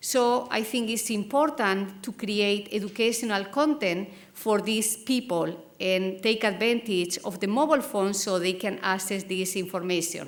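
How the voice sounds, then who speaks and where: A woman with a Spanish accent, medium pitch, ordinary pitch variation and fairly slow pace, with audible room echo. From Spain. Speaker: academic program co-founder. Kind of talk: conference presentation.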